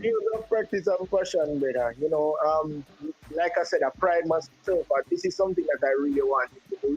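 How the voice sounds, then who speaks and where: A man's voice holds a very even loudness at a moderate pace, with a dry, close sound with no echo and noticeable background noise. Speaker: sports commentator, football announcer. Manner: careful with pronunciation of names.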